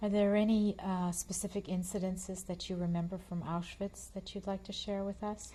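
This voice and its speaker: A woman's somewhat breathy voice moves at a moderate pace in a monotone, flat intonation. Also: medium pitch for a woman, hardly any pauses. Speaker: oral history interviewer. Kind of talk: interview questions.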